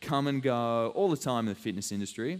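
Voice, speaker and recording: A man speaks at a medium pitch with an Australian accent. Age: 20s. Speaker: fitness trainer. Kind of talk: live fitness talk and demo. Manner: casual, filler-heavy.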